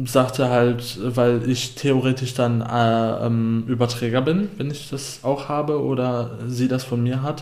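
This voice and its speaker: Speech comes at a very slow pace with fairly even intonation and audible room echo. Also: man. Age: 20s. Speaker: podcast co-host. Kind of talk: casual chat.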